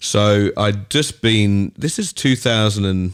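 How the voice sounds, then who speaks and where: In a very clean recording with a silent background, a man with an Australian accent speaks at a fairly low pitch with ordinary pitch variation. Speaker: DJ and music producer. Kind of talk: podcast interview. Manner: casual.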